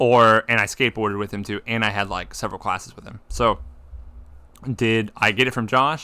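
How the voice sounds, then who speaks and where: The tone is bright and sharp, with fairly even intonation but big swings in loudness. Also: man, medium pitch for a man, fairly quick pace. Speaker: podcast host. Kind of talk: casual chat.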